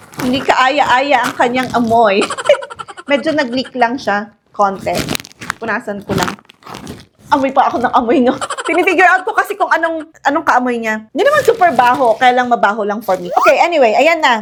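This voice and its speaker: Her voice high in pitch, a woman speaks in an animated tone with lively intonation. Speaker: product reviewer. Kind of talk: product review vlog. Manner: fast.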